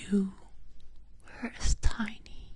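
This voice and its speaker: A whispered voice moving at a very slow pace. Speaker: ASMR storyteller. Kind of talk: whispered bedtime roleplay story. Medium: role play.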